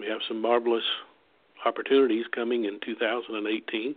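A man speaks with an American accent. His intonation is flat and monotone. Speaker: hunting trip outfitter. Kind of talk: solo radio monologue. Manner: hesitant, many fillers.

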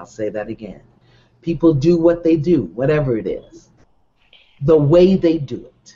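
Pausing long and often, a man with a fairly high pitch talks at a moderate pace, with lively intonation and big swings in loudness. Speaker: online show host. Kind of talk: live talk to online audience. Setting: live video stream.

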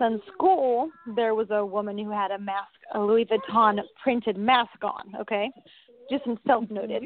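A woman with a plain, everyday voice speaks at a fairly high pitch and moderate pace, with ordinary pitch variation. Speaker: caller. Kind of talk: call-in personal story.

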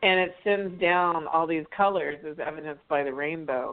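A woman with a plain, everyday voice and an American accent, fairly low in pitch, at a moderate pace with fairly even intonation. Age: 50s. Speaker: anti-trafficking advocate and artist. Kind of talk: interview. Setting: radio show.

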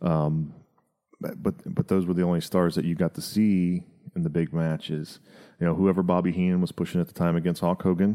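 A man speaks at a fairly quick pace in a very deep, low pitch, his dark, mellow tone held at very even loudness on a very clean recording with a silent background. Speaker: podcast host and comedian. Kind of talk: casual comedic banter, wrestling recap. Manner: loud, animated.

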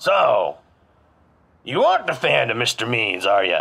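A man performs a put-on character voice. He keeps his delivery fairly slow.

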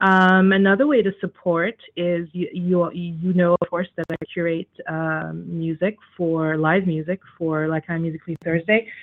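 A woman's fairly low-pitched voice, a normal speaking voice, at a fairly slow pace with fairly even intonation and hardly any pauses. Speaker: radio talk show host. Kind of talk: talk show.

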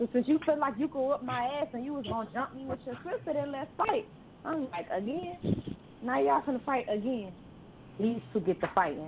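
Over noticeable background noise, a woman with high pitch speaks at a moderate pace with very wide pitch swings. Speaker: caller. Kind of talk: casual chat. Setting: phone call.

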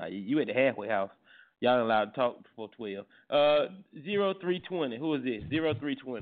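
An animated man talks at a moderate pace and medium pitch, his voice making very wide pitch swings. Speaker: radio host. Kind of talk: casual chat.

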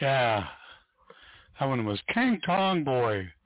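Speaking slowly at medium pitch, a man makes big pitch swings.

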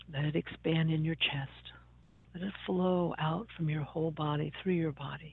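This woman's pitch is very deep and low. Her tone is soothing and calm, with fairly even intonation. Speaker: radio host. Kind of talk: guided meditation; talk show monologue. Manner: slow, soothing, calm; gentle, deliberate, instructive.

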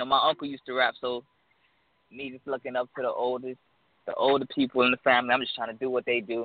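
Racing along at a very fast pace, a man with an American accent keeps a medium pitch and monotone, flat intonation while his loudness swings widely. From South Florida, Miami. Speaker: independent rapper. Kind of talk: radio interview.

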